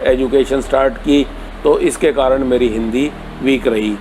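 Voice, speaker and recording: The speaker is a man with a fairly high voice. Background noise is clearly audible. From Haryana, India. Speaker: retired college principal. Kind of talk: interview.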